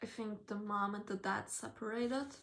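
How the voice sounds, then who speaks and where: This woman's intonation stays monotone and flat. She has a non-native accent. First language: not English. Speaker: book reviewer. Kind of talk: casual review vlog. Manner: casual, hesitant.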